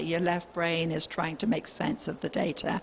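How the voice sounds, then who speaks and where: A woman speaks at a fairly low pitch with fairly even intonation. Background noise is noticeable. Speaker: remote viewer. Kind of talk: lecture. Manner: halting.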